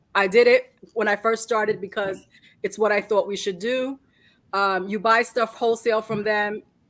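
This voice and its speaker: A woman with a New York accent, fairly high in pitch, monotone and flat, at a moderate pace. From New York City (Queens and Brooklyn), Puerto Rican family. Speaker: reseller. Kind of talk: live stream chat.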